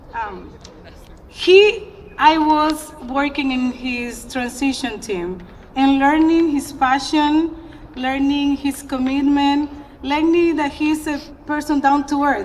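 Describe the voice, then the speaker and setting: Very slow, high-pitched woman's speech in a Spanish accent, ordinary pitch variation, noticeable background noise. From Dominican Republic. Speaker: community leader. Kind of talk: public speech. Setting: outdoor ceremony. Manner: animated.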